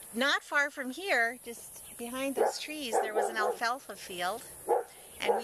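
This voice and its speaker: Over noticeable background noise, a woman with an Upper Midwest accent speaks at a fairly slow pace. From North Dakota. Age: 30s. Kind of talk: interview answer. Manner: casual, reminiscing.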